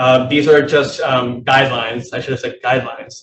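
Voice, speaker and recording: This man's voice is somewhat breathy. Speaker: public health presenter. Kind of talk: presentation at a meeting.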